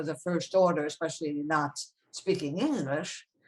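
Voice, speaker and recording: With a French accent, this voice moves along at a moderate pace. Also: woman. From France, moved to New York at eleven. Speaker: foundation president. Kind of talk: interview, life story. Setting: video call. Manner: conversational, some hesitations.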